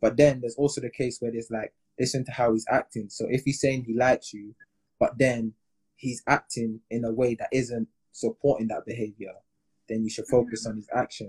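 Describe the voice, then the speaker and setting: A man with a British accent and a medium pitch, somewhat breathy and monotone with flat intonation, at a fairly quick pace, in a dry, close sound with no echo. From England. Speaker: podcast host. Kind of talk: casual chat. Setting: Instagram live.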